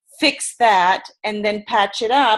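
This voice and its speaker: This is a woman speaking. She has a German accent. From Germany. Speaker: sales and personality trainer. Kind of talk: webinar presentation. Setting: video webinar from her bed.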